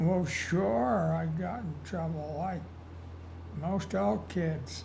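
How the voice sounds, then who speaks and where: A man with an American accent speaks very slowly at a fairly low pitch. His pitch swings very widely, and room echo can be heard. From Utah, US. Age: 80s+. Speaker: elderly interviewee telling life story. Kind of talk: oral history interview. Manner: conversational, some hesitations.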